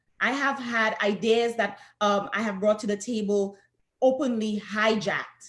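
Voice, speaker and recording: With a Saint Lucian accent, a woman speaks in a fairly high pitch with fairly even intonation. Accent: Saint Lucian Caribbean. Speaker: professor and researcher. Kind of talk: panel discussion.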